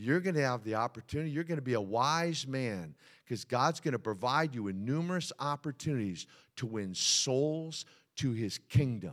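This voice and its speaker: In a very clean recording with a silent background, a man with a medium pitch speaks at a moderate pace, his tone animated and his intonation lively. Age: 60s. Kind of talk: sermon. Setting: church.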